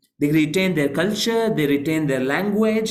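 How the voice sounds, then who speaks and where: A man with lively intonation, audible room echo and noticeable background noise. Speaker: Islamic scholar and lecturer. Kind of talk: online lecture with slides.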